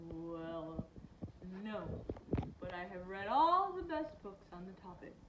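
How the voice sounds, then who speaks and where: Over clear background noise, a female-sounding, breathy put-on character voice speaks slowly at a middle pitch. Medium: read story. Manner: polite, mildly fussy.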